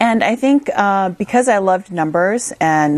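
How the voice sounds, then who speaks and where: Lively intonation marks this woman's speech in a Midwestern American accent. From US Midwest, small-town Minnesota. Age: 30s. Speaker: investor and entrepreneur. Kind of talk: interview.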